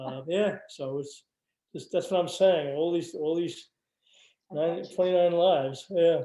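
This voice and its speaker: With an American accent, a man speaks at a fairly slow pace in a high, dark and mellow voice. His intonation stays fairly even. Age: 70s. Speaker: interviewee, local resident. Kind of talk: oral history interview. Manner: halting, many repetitions.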